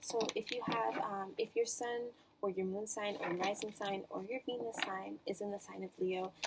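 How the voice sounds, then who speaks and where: There is noticeable background noise as a woman at a medium pitch speaks at a moderate pace with lively intonation. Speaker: tarot reader. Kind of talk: tarot reading. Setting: house while traveling.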